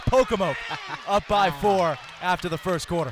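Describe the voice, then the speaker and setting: Through noticeable background noise, a man with an American accent speaks with ordinary pitch variation. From Eastern Shore of Maryland, US. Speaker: basketball play-by-play announcer. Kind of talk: live basketball play-by-play call.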